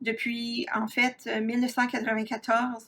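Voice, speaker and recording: A woman talks at a fairly slow pace. Her intonation is monotone and flat. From Ontario, Canada (Franco-Ontarian, south-central/southwest Ontario). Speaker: university professor, researcher. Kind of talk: lecture. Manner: frequent hesitations (euh).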